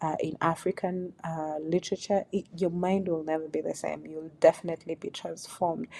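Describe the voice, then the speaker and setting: A woman's dark, mellow tone at a fairly low pitch, monotone and flat, at a moderate pace with hardly any pauses, on a very clean recording with a silent background. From Kenya, Duruma community. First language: Duruma. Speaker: YouTuber on African culture. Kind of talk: video commentary vlog.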